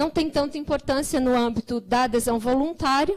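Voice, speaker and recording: A woman is speaking. Her pace is moderate. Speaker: government program coordinator. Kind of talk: conference presentation.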